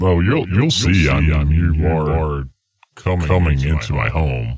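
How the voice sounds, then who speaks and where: Using a put-on character voice, a man speaks very slowly with a very deep, low pitch. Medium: actual play. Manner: smug, taunting, condescending.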